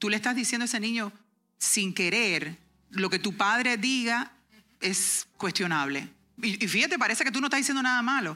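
The recording is very clean and the background silent. Speech unfolds at a moderate pace. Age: 40s. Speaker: homeschooling parent and workshop speaker. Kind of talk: workshop talk and testimony. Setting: conference workshop with audience.

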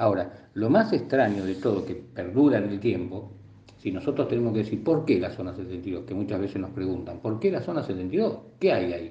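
A man with an Argentine accent speaks at a moderate pace with lively intonation, and room echo can be heard. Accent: Rioplatense Argentine Spanish. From Argentina, La Plata. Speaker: UFO researcher. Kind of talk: interview. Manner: halting.

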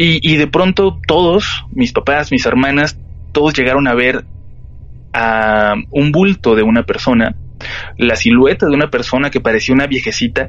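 Music plays behind a man with a fairly high pitch. He speaks at a moderate pace with very even loudness. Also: lively intonation. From Mexico, Tijuana. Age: 30s. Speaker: horror podcast host. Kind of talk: storytelling in interview. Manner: halting, repeats words.

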